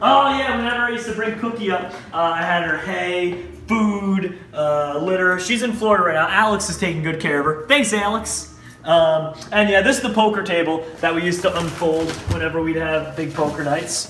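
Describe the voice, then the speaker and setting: A man talks at a moderate pace with a high pitch and ordinary pitch variation. The room echo is audible, with light background noise. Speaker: vlogger giving home tour. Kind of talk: casual vlog chat. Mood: playful, nostalgic. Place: home room. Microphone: camera far.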